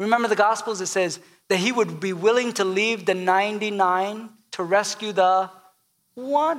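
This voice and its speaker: Speaking at a fairly slow pace, a man with a high pitch shows ordinary pitch variation. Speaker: pastor. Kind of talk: sermon. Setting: church.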